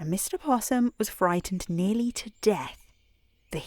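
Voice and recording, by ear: Someone reads aloud in a natural voice, the pitch moving in an ordinary way.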